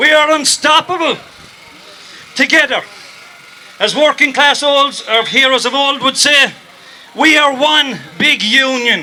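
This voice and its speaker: A man with an Irish accent uses a raised, projected voice at an extremely high pitch, with fairly even intonation and very even loudness. He talks at a fairly slow pace with long, frequent pauses, amid noticeable background noise. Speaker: storyteller. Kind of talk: protest rally speech.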